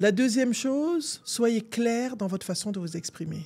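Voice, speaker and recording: A woman speaks at a fairly high pitch. Her voice swings very widely in pitch. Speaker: coach and video host. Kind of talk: advice monologue to camera. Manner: assertive, emphatic.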